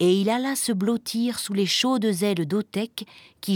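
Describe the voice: A plain read-aloud delivery.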